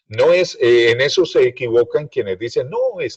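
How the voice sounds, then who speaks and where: A man at a moderate pace. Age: 60s. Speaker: radio broadcaster. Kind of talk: interview.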